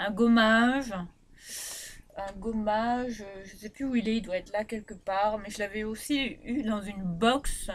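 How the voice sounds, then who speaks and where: Her fairly high voice moves at a fairly slow pace, with fairly even intonation but big swings in loudness. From Réunion. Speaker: beauty vlogger. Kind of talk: product review vlog. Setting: bedroom.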